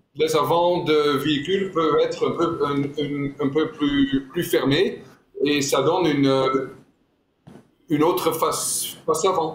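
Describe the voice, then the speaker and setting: A man speaks at a very slow pace and a fairly high pitch, leaving long, frequent pauses. His intonation is fairly even, his loudness very even, and the room echo is audible. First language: not French (speaking French). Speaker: car designer. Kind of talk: interview. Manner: halting.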